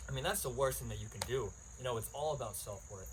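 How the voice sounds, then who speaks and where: Audible room echo surrounds the voice. A man speaks at a very fast pace. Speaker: podcast host. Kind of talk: casual monologue. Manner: rambling, many fillers.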